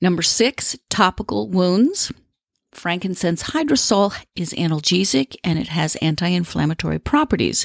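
A woman with a fairly low pitch and vocal fry speaks at a moderate pace with very wide pitch swings, in a very clean recording with a silent background. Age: 50s. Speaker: aromatherapy podcast host and educator. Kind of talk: solo podcast tutorial. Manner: warm, chatty.

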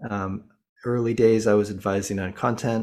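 A man's fairly low, monotone, flat voice in a General American accent at a moderate pace, on a very clean recording with a silent background. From Colorado. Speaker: fitness app CEO and former elite cyclist. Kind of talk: casual interview. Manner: halting, many fillers.

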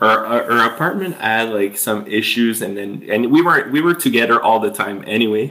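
A man speaks with a French accent in a bright, sharp tone. His pitch varies an ordinary amount. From Quebec, Eastern Townships. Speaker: artist and musician. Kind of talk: interview. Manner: hesitant, many fillers.

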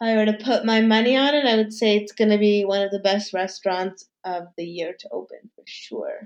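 A woman with an American accent talks at a fairly quick pace in a plain, everyday voice, fairly high in pitch. Her intonation stays fairly even while her loudness swings widely, with hardly any pauses. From New York City, Manhattan. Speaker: food and lifestyle influencer. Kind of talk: casual interview.

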